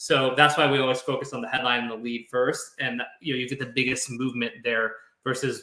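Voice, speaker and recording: A man speaks at a fairly quick pace with a medium pitch. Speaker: copywriter. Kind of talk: interview. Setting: live video stream. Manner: fast; energetic.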